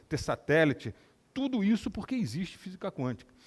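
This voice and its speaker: In a very clean recording with a silent background, a man with vocal fry talks at a moderate pace, his pitch swinging very widely. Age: 60s. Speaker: neurosurgeon and scientist giving a talk. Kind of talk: lecture.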